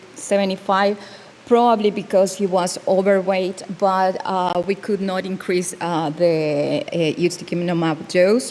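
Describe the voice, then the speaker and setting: Background noise is clearly audible here. Over it, a woman talks fairly slowly. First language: not English. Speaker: dermatologist. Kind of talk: conference case presentation. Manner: halting.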